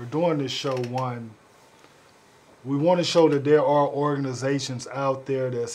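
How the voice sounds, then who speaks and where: Heard with audible room echo and noticeable background noise, a man talks at a moderate pace in a medium pitch. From Richmond, California. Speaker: talk show host. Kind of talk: interview.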